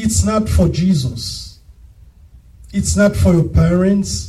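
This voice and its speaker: A man talks at a very slow pace. He has a strong non-native accent. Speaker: preacher. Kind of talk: sermon. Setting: church.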